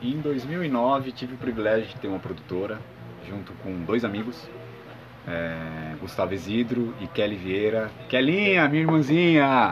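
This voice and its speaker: With music in the background and audible room echo, the voice swings very widely in pitch. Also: man, medium pitch for a man, fairly slow pace. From São Paulo state, Brazil (Santo André, ABC Paulista). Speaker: musician and music producer. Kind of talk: casual interview. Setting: at home.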